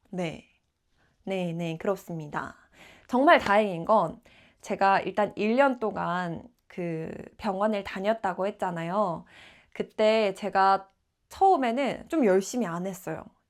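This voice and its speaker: The speech moves at a very slow pace. Long pauses break it up often. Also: woman, medium pitch for a woman, ordinary pitch variation. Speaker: aspiring announcer and traffic caster. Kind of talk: vlog-style personal talk to camera.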